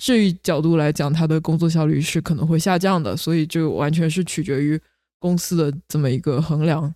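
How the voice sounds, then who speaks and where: Speech moves at a fairly quick pace. The recording is very clean, with a silent background. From mainland China, Wenzhou, Zhejiang. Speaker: podcast co-host. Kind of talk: casual chat.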